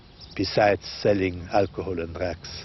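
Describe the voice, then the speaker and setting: In an ordinary speaking voice, a man with a fairly low pitch speaks at a fairly slow pace. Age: 60s. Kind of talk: interview testimony.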